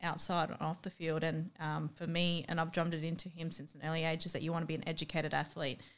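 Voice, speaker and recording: A woman with a strong Australian accent talks at a fairly quick pace. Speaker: professional MMA fighter and boxer. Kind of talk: casual interview chat.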